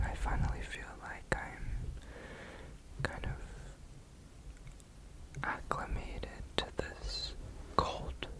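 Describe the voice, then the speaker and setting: A whispered voice moves very slowly, broken by long, frequent pauses, with noticeable background noise behind it. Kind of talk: ASMR whisper ramble. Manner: casual, chatty.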